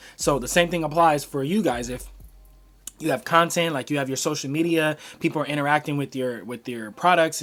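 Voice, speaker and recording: This man talks at a fairly quick pace, his fairly high voice held to a fairly even intonation. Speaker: small business owner and entrepreneur vlogger. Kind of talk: casual talking-head tutorial. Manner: fast; casual, filler-heavy.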